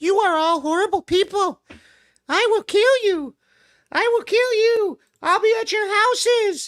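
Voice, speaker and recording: Using a put-on character voice with an extremely high pitch, a woman speaks at a moderate pace with long, frequent pauses. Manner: threatening.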